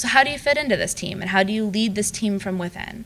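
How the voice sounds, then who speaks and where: A woman speaks at a very fast pace with an American accent. Her pitch is medium, with ordinary pitch variation. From US Midwest, Madison, Wisconsin. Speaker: alumna speaker, engineer. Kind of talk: lecture.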